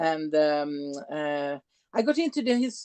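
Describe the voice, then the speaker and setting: With a European accent, a woman speaks in a dry, close sound with no echo against a quiet background. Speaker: tour guide. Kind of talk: tour presentation. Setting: video call.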